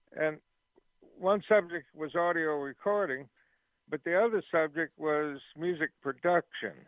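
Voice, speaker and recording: Using a normal speaking voice, a man with an American accent talks fairly slowly in a fairly high pitch with ordinary pitch variation. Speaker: musician. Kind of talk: interview.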